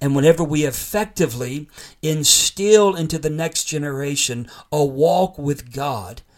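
A man's fairly high voice at a fairly slow pace, with ordinary pitch variation. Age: 50s. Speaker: podcast host and preacher. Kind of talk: sermon-style teaching. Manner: impassioned.

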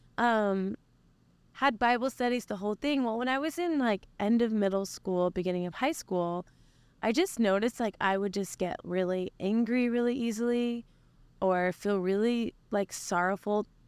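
A woman's plain, everyday voice with an American accent, fairly high in pitch, with ordinary pitch variation and a moderate pace, on a very clean recording with a silent background and a dry, close sound with no echo. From Oklahoma. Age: 30s. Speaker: worship leader. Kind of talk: interview. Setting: mobile podcast recording.

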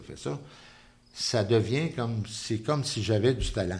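Someone with a Quebec accent speaks in a somewhat breathy voice at a fairly slow pace, with ordinary pitch variation and audible room echo. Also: man. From Quebec City, Quebec. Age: 70s. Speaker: painter. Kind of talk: interview. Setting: artist's studio.

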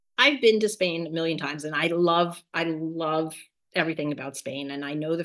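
Against a quiet background, a woman with an American accent and a very deep, low pitch speaks at a fairly quick pace with fairly even intonation. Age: 50s. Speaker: retiree preparing for pilgrimage. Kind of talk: interview.

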